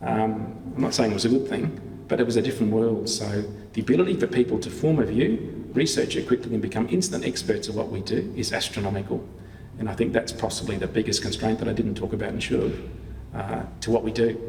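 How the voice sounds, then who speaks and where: A man with an Australian accent talks at a very fast pace and medium pitch, with ordinary pitch variation and audible room echo. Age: 60s. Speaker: town planner, public sector leader. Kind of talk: Q&A after a lecture.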